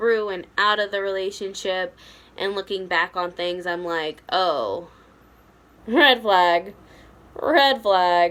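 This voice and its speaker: A woman with a plain, everyday voice talks at a medium pitch with fairly even intonation. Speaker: vlogger sharing personal abuse story. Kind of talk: personal testimony vlog.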